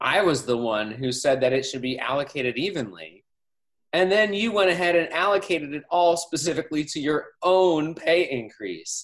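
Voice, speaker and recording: With a normal speaking voice, a man talks at a moderate pace, his fairly high pitch carried by lively intonation. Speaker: improv comedian, merch designer. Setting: video call.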